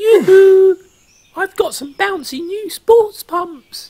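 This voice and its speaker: This is a squeaky, put-on character voice with an extremely high pitch. It moves at a very slow pace. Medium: cartoon. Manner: warm, friendly.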